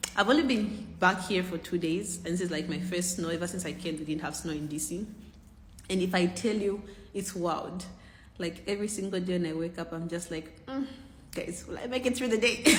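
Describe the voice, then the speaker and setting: In a room with audible echo, a woman speaks somewhat breathily at a fairly quick pace, medium in pitch with ordinary pitch variation. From Zambia. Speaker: content creator. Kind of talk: casual vlog.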